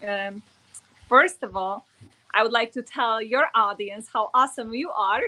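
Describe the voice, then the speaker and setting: With a strong Polish accent, the speaker talks at a fairly slow pace with fairly even intonation. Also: woman. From Poland. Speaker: network marketer. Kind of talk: interview. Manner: halting.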